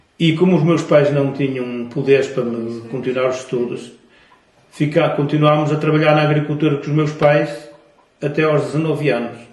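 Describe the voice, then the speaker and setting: Amid audible room echo, a man speaks at a fairly high pitch with fairly even intonation. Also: moderate pace. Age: 70s. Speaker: grandfather, war veteran. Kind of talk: testimony. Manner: halting, with repetitions.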